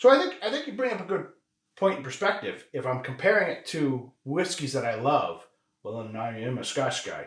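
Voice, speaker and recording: A man's fairly quick speech is heard with audible room echo. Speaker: whiskey review podcast co-host. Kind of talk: casual tasting chat. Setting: home whiskey room. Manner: loud.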